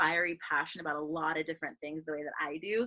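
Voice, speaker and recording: A loud voice with a bright, sharp tone races along at a very fast pace. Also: woman. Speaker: workshop coach. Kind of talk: online workshop talk. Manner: animated.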